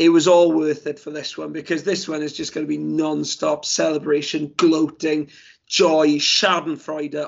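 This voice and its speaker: The speaker has a Welsh accent. The intonation is monotone and flat. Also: man. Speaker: football podcast host. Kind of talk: casual chat.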